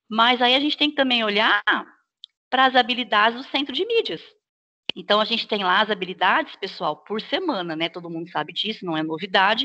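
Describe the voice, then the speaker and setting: Her tone bright and sharp, a woman with a fairly high pitch talks at a fairly quick pace with lively intonation. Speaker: teacher trainer. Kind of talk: online staff training session. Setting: video call.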